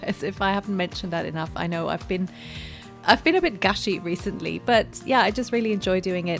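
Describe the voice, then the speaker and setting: With music in the background, a woman speaks at a very fast pace. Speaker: podcast host. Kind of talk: casual podcast conversation.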